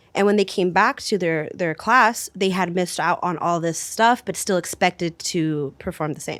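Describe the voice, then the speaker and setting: A woman with a Spanish accent and a fairly low pitch speaks at a moderate pace with hardly any pauses, in a very clean recording with a silent background. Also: ordinary pitch variation. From US Pacific Northwest (Washington). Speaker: youth program coordinator. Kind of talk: casual discussion.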